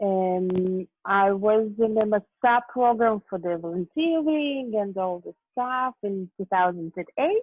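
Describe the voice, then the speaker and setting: A woman's medium-pitched voice with a Russian accent, very slow in pace, with hardly any pauses. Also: lively intonation. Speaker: LGBT group member, event manager. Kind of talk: interview. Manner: halting.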